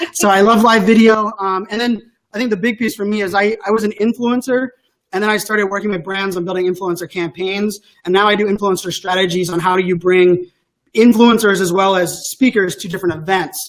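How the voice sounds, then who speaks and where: Speaking at a fairly quick pace, a man with a high pitch keeps his intonation fairly even. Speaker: tech speaker and influencer. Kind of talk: interview conversation. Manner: fast.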